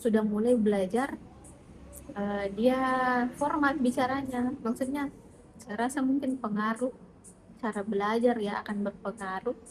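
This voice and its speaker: Pausing long and often, a woman speaks fairly slowly in a high voice with ordinary pitch variation. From South Sulawesi, Indonesia. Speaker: private tutor, job interview candidate. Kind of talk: job interview (mock).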